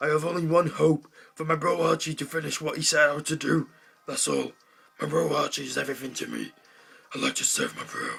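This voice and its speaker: A man's put-on character voice, fairly high-pitched and at a fairly quick pace. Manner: dramatic, theatrical.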